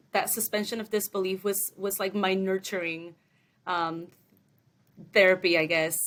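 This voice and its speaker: A medium-pitched woman's voice in a Spanish accent, with monotone, flat intonation. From Mexico, raised partly in Long Beach, California. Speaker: entertainment development assistant. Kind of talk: podcast interview. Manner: casual, hesitant with many fillers.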